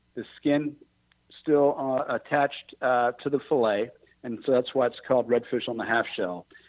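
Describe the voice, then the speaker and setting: Here a man with a medium pitch speaks in an American accent. His delivery is fairly slow, with fairly even intonation. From Texas, Houston. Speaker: restaurant business owner. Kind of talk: radio interview. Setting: radio studio.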